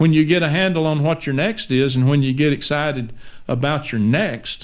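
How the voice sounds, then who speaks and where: A man with a Texan accent, fairly high pitch, ordinary pitch variation and a moderate pace. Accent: Texan Southern US. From East Texas, US. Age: 60s. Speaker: pastor. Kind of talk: interview conversation.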